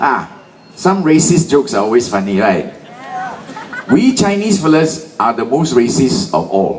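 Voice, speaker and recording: The speaker moves at a fairly slow pace with long, frequent pauses and very wide pitch swings, with audible room echo and noticeable background noise. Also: man, fairly high pitch for a man. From Malaysia. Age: 60s. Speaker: political rally speaker. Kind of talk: political rally speech. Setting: stage with audience. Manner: animated.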